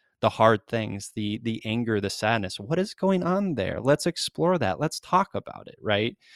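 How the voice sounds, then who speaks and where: Here a man talks in an ordinary speaking voice at medium pitch and moderate pace. The sound is dry and close with no echo, a very clean recording with a silent background. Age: 40s. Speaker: mental health advocate and writer. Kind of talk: interview conversation.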